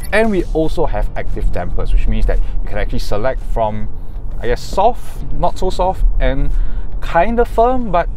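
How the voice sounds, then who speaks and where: Music plays clearly in the background. The sound is dry with no echo. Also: man. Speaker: car reviewer. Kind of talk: car review commentary. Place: car. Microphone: lapel.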